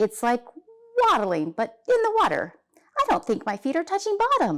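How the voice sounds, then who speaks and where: Speaking at a moderate pace in a confident tone, the speaker uses a put-on character voice. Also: woman, high pitch for a woman. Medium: read story. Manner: eager, confident.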